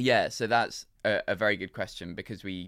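A man speaks with a London accent at a very deep, low pitch. The recording is very clean, with a silent background. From London, England. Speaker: drinks company founder. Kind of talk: interview.

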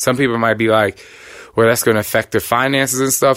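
With an American accent, a man talks in an animated tone. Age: 30s. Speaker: podcast host, fitness trainer. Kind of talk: motivational talk. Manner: loud.

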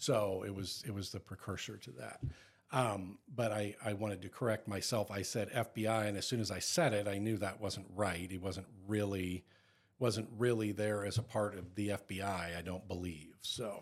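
An unremarkable speaking voice belonging to a man, fairly low in pitch with fairly even intonation, moves at a moderate pace. The recording is very clean, with a silent background. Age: 50s. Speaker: podcast co-host. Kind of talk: casual chat.

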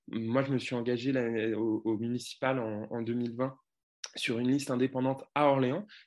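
At a moderate pace, a man speaks in a medium pitch with fairly even intonation. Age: 20s. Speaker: parliamentary candidate. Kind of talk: interview. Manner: confident.

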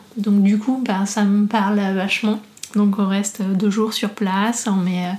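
Over noticeable background noise, a woman talks at a fairly slow pace with medium pitch. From northeastern France, near Reims. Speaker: business founder. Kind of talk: interview. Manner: halting, many hesitations.

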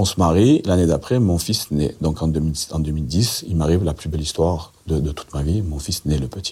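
A man with a very deep, low pitch and a dark, mellow tone speaks at a moderate pace, sounding somewhat breathy. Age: 50s. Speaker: convicted drug trafficker telling his story. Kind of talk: interview storytelling.

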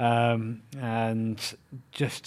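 English accent on a man's voice. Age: 30s. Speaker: content creator and racing driver. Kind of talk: interview.

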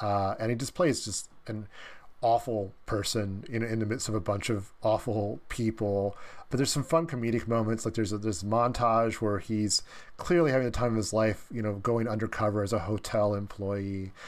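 Moderate pace and ordinary pitch variation with an American accent, on a very clean recording with a silent background. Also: man, fairly low pitch for a man. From US Midwest (Dayton, Ohio). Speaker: film critic and author. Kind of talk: casual interview. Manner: halting, many fillers and repetitions.

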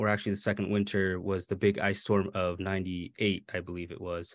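Here a man with an American accent uses a plain, everyday voice at fairly low pitch, moderate pace, over a quiet background. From Maine, US (born California). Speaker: author. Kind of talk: interview.

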